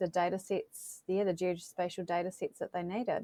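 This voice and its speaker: A woman with a New Zealand accent speaks in a monotone, flat intonation at medium pitch, recorded very cleanly with a silent background and a dry, close sound with no echo. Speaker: tech company representative, GIS professional. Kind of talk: interview.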